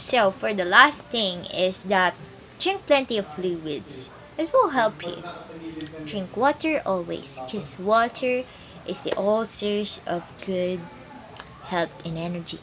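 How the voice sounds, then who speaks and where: A woman speaks at a very slow pace, with long and frequent pauses. There is noticeable background noise. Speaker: presenter. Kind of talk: tutorial. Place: home room. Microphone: phone near.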